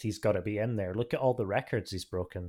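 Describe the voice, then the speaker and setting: A man with a British accent, talking at a fairly quick pace. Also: very clean recording, silent background. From Britain. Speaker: podcast co-host, NFL fan. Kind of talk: casual chat.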